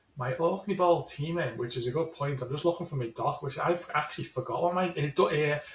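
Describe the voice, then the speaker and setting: Fairly quick, with hardly any pauses, the speech carries a Scouse accent. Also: man, fairly high pitch for a man, ordinary pitch variation. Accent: Scouse, unchanged by Ireland. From Liverpool, England. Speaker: fantasy football league player. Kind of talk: casual chat. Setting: call.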